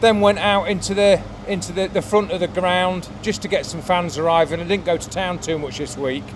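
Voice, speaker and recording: A man with a high pitch speaks at a fairly quick pace with hardly any pauses and ordinary pitch variation, over noticeable background noise. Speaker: sports photographer. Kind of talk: casual vlog talk to camera. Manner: halting, many fillers.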